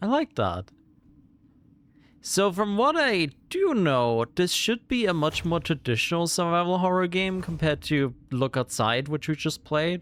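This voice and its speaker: Lively intonation in a German accent, a fairly slow pace and very even loudness on a very clean recording with a silent background. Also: man, high pitch for a man. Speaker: gaming streamer. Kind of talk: let's play commentary.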